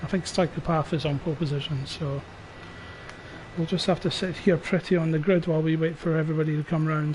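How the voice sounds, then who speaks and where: This man talks very fast in a flat, monotone way, his pitch fairly high. Noticeable background noise can be heard. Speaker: sim racing league streamer and commentator. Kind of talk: live commentary. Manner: quiet, subdued.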